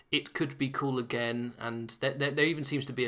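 In a very clean recording with a silent background, a man with a British accent speaks at a moderate pace in a bright, sharp tone. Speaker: podcast host. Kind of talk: casual monologue. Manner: hesitant, many fillers.

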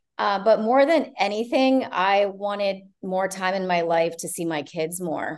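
A woman with an American accent, a normal speaking voice, medium pitch, lively intonation, a fairly slow pace and hardly any pauses. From Ohio, partly Canada. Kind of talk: casual interview.

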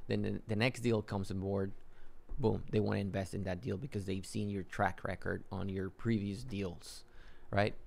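A man with a Spanish accent, fairly low in pitch, at a moderate pace with fairly even intonation. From Mexico (Yucatan, raised in Matamoros). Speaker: real estate investor. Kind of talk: interview.

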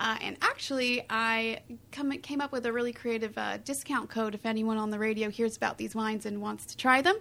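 This woman has a plain, everyday voice, a fairly high pitch, and a General American accent, speaking at a fairly quick pace. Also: fairly even intonation. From California. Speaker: winemaker. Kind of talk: casual chat.

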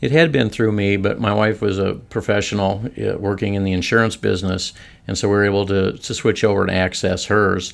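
A man with an American accent has an ordinary speaking voice, fairly low in pitch and fairly even in intonation. He talks at a fairly quick pace on a very clean recording with a silent background. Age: 60s. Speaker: semi-retired financial firm employee. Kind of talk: podcast interview.

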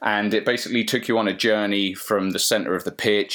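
A man's fairly low voice in an English accent, with monotone, flat intonation. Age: 30s. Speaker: virtual reality agency founder. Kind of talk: casual interview.

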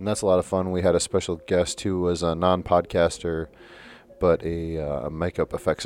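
A man with a very deep, low pitch, flat monotone delivery and a fairly quick pace. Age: 30s. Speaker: podcast host. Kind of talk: casual chat.

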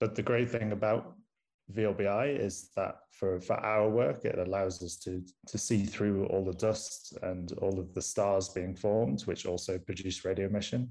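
A man's fairly low voice at a moderate pace, with fairly even intonation. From northern England, Manchester. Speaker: astronomer and university lecturer. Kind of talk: casual interview conversation.

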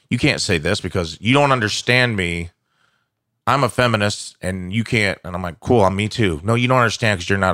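Speaking at a fairly quick pace with lively intonation, a man with an American accent has a bright, sharp tone and a fairly low pitch. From Southern Illinois. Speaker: stand-up comedian. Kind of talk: casual chat. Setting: studio.

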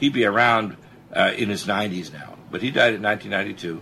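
This man speaks at a medium pitch. His intonation is lively. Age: 60s. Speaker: physician radio host. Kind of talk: talk radio health show. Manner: fast talker; animated.

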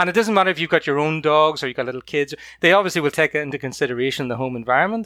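A man with a Northern Irish accent talks at a very fast pace. His fairly high voice has a bright, sharp tone, and the sound is dry and close with no echo. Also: ordinary pitch variation, very clean recording, silent background. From County Antrim, Northern Ireland. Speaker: guest, puppy raiser. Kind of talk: casual interview chat.

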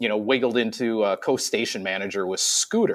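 A man talks at a medium pitch with ordinary pitch variation. He has a normal speaking voice. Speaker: IT worker, former engineer. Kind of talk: casual chat. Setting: video call.

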